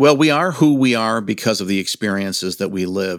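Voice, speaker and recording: In an unremarkable speaking voice with an American accent, the speaker goes at a moderate pace. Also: man. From Michigan. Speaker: tourism executive. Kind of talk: casual interview.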